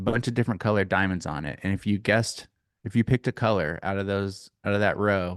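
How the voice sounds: A natural reading voice carries fairly even intonation. The background is quiet.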